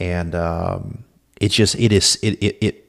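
A man speaks very slowly in a Southern US accent. His pitch is very deep and low, with fairly even intonation. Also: very clean recording, silent background. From Louisiana (Alexandria). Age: 40s. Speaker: defense attorney. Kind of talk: scripted narration. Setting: at home.

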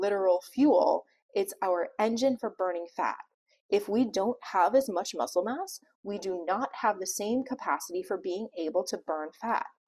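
A woman's plain, everyday voice at medium pitch, moderate pace and lively intonation. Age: 40s. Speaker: pharmacist and health coach podcast host. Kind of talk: solo podcast talk.

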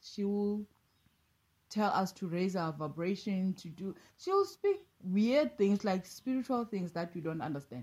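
Somewhat breathy and dark, mellow in tone, a woman speaks at a medium pitch. Her pace is fairly slow and her intonation lively. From South Africa, Eastern Cape and Pretoria. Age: 40s. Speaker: life coach. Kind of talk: casual interview.

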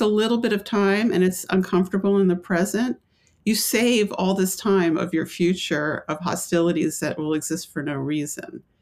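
A woman with a plain, everyday voice talks at medium pitch with lively intonation. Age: 60s. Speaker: author. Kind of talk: interview. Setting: remote interview from home.

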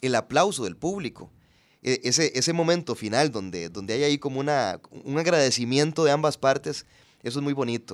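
A man with a plain, everyday voice speaks at a fairly quick pace and a fairly high pitch. His intonation is lively, and the recording is very clean with a silent background. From Costa Rica, Puntarenas. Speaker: actor and TV personality. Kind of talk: casual interview chat.

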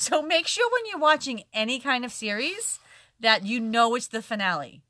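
A loud woman's voice with lively intonation. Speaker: podcast co-host. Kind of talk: casual chat. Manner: fast.

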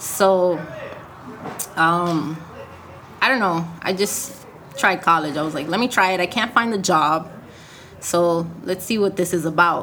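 Through noticeable background noise, a woman speaks at a fairly low pitch. Her pace is fairly slow, with long, frequent pauses. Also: ordinary pitch variation. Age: 20s. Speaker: brain injury survivor, jiu-jitsu practitioner, podcast co-host. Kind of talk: casual interview chat.

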